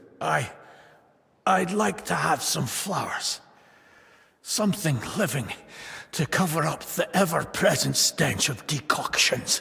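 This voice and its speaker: Putting on a raspy character voice, a man speaks in a high pitch at a fairly slow pace with lively intonation. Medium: video game. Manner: hesitant, soft-spoken.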